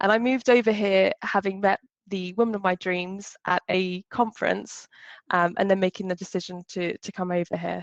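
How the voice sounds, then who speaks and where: A woman with a strong British accent and fairly even intonation. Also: dry, close sound with no echo, quiet background. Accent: British English, still strong. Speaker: customer success executive, speaker. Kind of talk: short talk.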